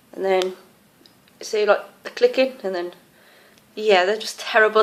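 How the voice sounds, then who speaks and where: A woman with an English accent, medium in pitch. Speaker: tarantula keeper. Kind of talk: casual show-and-tell video. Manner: hesitant with many fillers.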